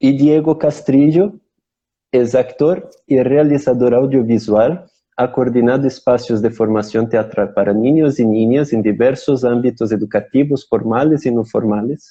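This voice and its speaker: Against a quiet background, a man with a Portuguese accent talks fairly slowly in a dark, mellow tone, with ordinary pitch variation and very even loudness. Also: medium pitch for a man. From Brazil. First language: Portuguese (speaking Spanish). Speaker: theatre company member hosting online talk show. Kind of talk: live-streamed interview introduction. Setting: Instagram live stream. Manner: halting, repeats words.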